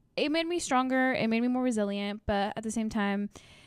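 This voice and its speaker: A woman's fairly high voice with a Spanish accent and ordinary pitch variation, dry and close with no echo, on a very clean recording with a silent background. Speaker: podcast host. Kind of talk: casual solo podcast monologue.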